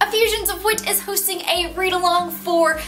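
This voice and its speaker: A woman with a slight Southern US accent speaks at a moderate pace with music in the background. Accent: light Southern US. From Southern United States. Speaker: book vlogger. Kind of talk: casual talk to camera. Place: home room. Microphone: camera far.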